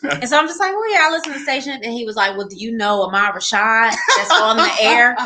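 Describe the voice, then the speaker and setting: A woman with a Texas accent speaks very fast in an animated tone, at a fairly high pitch with very wide pitch swings and big swings in loudness. Noticeable background noise and audible room echo surround her. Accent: Southern US (Texas). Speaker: marriage podcast host and couples ministry leader. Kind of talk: casual storytelling interview.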